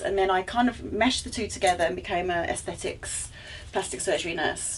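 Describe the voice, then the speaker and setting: A woman with an Essex accent at a medium pitch, fairly quick pace and lively intonation, over noticeable background noise. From England, Essex. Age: 60s. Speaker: aesthetics nurse and podcast co-host. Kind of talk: casual chat.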